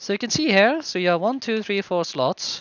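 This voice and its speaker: A man talks with a non-native accent. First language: not English. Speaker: game modder. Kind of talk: software showcase tutorial. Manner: halting, many fillers.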